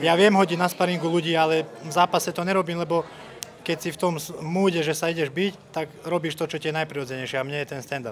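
Over light background noise, a man talks at a very fast pace. His pitch is fairly high and his intonation fairly even. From Slovakia. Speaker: MMA fighter. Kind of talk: post-fight interview. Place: hall. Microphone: handheld.

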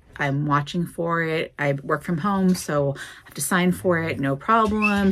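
The intonation is lively. The delivery moves at a fairly slow pace. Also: woman. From Oregon, US. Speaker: vlogger. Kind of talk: angry rant, casual vlog. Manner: animated, exasperated, repetitive emphatic. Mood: ranty, joking. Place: office. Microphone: phone near.

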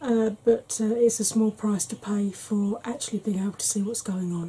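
The speaker keeps a moderate pace. Intonation stays fairly even. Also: woman. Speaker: beauty vlogger. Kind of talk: tutorial. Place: home room.

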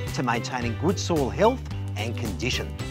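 A man's voice with clear music playing in the background. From Australia. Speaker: TV gardening presenter and horticulturist. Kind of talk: product demonstration narration to camera. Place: garden.

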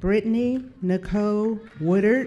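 A woman's dark, mellow voice at medium pitch, fairly slow pace, with ordinary pitch variation

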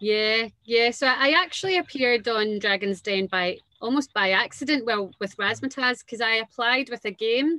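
A woman with a Glaswegian accent, fairly high-pitched and bright, sharp in tone, ordinary pitch variation, moderate pace, hardly any pauses, dry sound with no echo and a quiet background. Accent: Glaswegian Scottish. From Scotland, Renfrew near Glasgow. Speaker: entrepreneur, dance school founder. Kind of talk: casual interview. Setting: video call. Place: home room. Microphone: video call.

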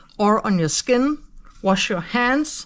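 With a Danish accent, a woman speaks at a fairly slow pace. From Denmark. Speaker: colouring youtuber. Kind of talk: tutorial. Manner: hesitant with fillers. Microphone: phone near.

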